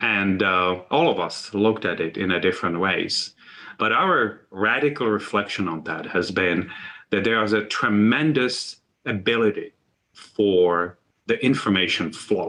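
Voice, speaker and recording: With a non-native accent, a man speaks at a fairly slow pace in a bright, sharp tone, his fairly low pitch showing ordinary variation. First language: not English. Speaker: university medical leader. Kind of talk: symposium talk. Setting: virtual symposium.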